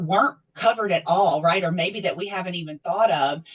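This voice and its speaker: A woman with a Southern US accent. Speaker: nonprofit staff, TV show host. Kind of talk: interview. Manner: conversational, many fillers.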